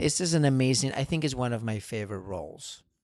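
A man with a Spanish accent at a fairly quick pace, in a very clean recording with a silent background. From Spain. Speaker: ballet dancer. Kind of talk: interview. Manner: halting.

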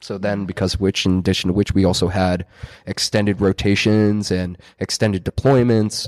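In an American accent, a man talks at a moderate pace in a fairly low pitch with monotone, flat intonation, and the sound is dry and close with no echo. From New Jersey. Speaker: gym manager, coach and Navy veteran. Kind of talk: casual conversation.

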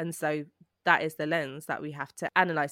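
In a South London accent, a woman speaks in a dry, close sound with no echo on a very clean recording with a silent background. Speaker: producer and writer. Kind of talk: casual chat.

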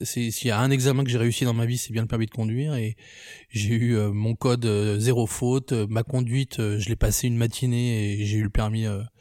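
A man speaks at a moderate pace and a medium pitch, his tone dark and mellow and his intonation fairly even. The recording is very clean, with a silent background and a dry, close sound with no echo. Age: 30s. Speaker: photographer and filmmaker. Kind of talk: casual personal testimony.

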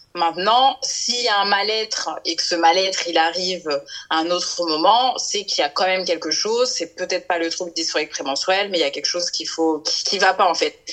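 Noticeable background noise runs under this clip. The woman in it speaks fairly quickly. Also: medium pitch for a woman, ordinary pitch variation. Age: 30s. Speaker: marketing worker and women's health association founder. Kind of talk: interview. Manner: halting, many fillers.

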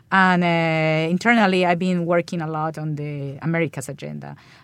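On a very clean recording with a silent background, a woman with a Spanish accent speaks in a very deep, low voice with fairly even intonation. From Colombia. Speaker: ambassador. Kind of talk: interview. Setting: studio. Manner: halting.

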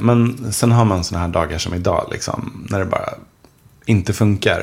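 Over noticeable background noise, a man speaks at a moderate pace. His medium-pitched voice has lively intonation. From Swedish mill town. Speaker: author. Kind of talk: casual chat.

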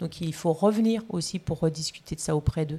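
A woman's fairly low, dark, mellow voice at a moderate pace, with ordinary pitch variation, on a very clean recording with a silent background. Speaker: emergency physician. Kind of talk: interview. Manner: halting.

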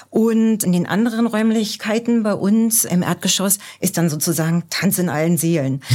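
A woman speaks with a dark, mellow tone and ordinary pitch variation. Her loudness stays very even. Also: medium pitch for a woman, moderate pace. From East Germany. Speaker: embassy cultural staff member. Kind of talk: podcast interview.

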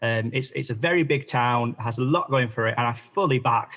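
A man talks at a fairly quick pace in a South Yorkshire accent. His pitch sits in the medium range. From northern England, Barnsley, South Yorkshire. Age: 20s. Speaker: political candidate. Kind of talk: podcast interview.

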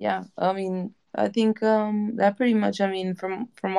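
Dry and close with no echo, the recording carries a woman's medium-pitched voice with a dark, mellow tone. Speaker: music industry entrepreneur. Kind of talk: casual chat.

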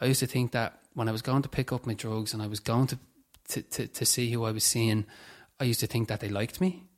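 Speaking very fast with a Dublin accent, a man uses a medium pitch and ordinary pitch variation. The recording is very clean, with a silent background. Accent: Dublin Irish. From Dublin, Ireland (Tallaght area). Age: 20s. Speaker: person in addiction recovery. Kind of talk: testimony in interview.

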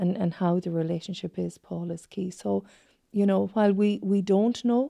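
A woman's dark, mellow, medium-pitched voice with a west of Ireland accent at a fairly slow pace. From Achill Island, County Mayo, Ireland. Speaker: psychotherapist. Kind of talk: interview.

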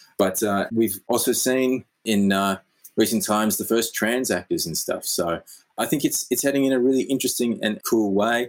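Speaking at a moderate pace with an Australian accent, a man with a medium-pitched voice is heard on a very clean recording with a silent background. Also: ordinary pitch variation. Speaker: podcast co-host and actor. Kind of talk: casual comedic chat.

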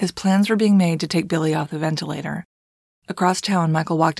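Very fast and fairly even in intonation, a woman speaks at a fairly low pitch with vocal fry. The recording is very clean with a silent background, dry and close with no echo. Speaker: true crime podcast host. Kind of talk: scripted narration.

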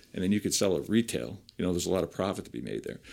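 Vocal fry runs through this American-accented voice, captured in a very clean recording with a silent background. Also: man. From New Jersey, Piscataway. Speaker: vocational teacher and former navy builder. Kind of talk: interview. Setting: recorded interview.

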